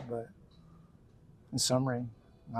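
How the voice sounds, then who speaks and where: Speaking in an American accent, a man with a dark, mellow, somewhat breathy tone and medium pitch talks at a moderate pace in a monotone, flat intonation. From Texas (Pasadena, near Houston). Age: 60s. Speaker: biker, military veteran. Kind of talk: interview. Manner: halting, many fillers.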